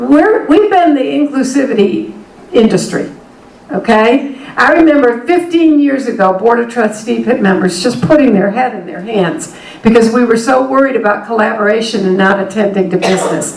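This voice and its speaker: Audible room echo and noticeable background noise accompany a woman as she speaks. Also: fairly high pitch for a woman, lively intonation, moderate pace. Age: 60s. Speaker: higher education consultant and speaker. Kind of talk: workshop keynote talk.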